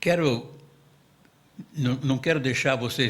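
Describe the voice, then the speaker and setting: Fairly high-pitched for a man, this somewhat breathy voice shows ordinary pitch variation. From Brazil, São Paulo state (Casa Branca). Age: 80s+. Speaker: witness at public truth commission hearing. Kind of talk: testimony. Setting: public hearing in municipal chamber.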